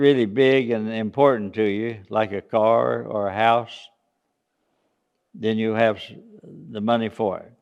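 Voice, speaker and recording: A man with an Appalachian accent speaks at a fairly slow pace, with long, frequent pauses. His medium-pitched voice is monotone and flat, with big swings in loudness. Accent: Southern US (Appalachian). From US South, East Tennessee (Smoky Mountains). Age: 80s+. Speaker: church senior speaking to children. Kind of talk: children's talk. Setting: church children's program. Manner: halting, with fillers.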